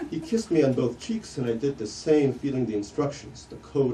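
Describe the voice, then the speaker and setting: Noticeable noise runs through the background. The delivery is moderately paced, with ordinary pitch variation. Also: man. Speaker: novelist. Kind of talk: author reading from his novel.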